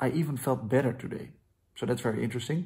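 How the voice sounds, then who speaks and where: A man with a Dutch accent, medium pitch, a dark, mellow tone and a somewhat breathy quality. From Netherlands. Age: 20s. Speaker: vlogger. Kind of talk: video diary. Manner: halting.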